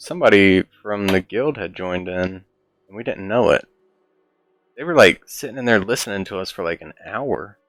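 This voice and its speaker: A man uses a normal speaking voice at a moderate pace with ordinary pitch variation. His loudness swings widely, and the sound is dry and close with no echo. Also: fairly low pitch for a man. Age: 30s. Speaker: gaming podcast co-host. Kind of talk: casual chat. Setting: live stream.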